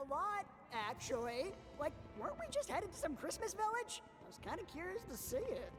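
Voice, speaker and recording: Clear background noise sits behind a put-on character voice delivered at a fairly quick pace. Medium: virtual streamer. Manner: sarcastic, deadpan.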